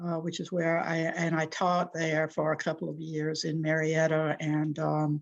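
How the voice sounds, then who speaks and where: Speaking slowly-ish with an American accent, a woman uses a very deep, low pitch and monotone, flat intonation at a fairly slow pace. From US South, Columbus, Georgia. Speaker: journalist and author. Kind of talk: interview.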